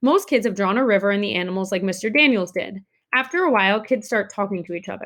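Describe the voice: This is plain reading aloud. The background stays quiet.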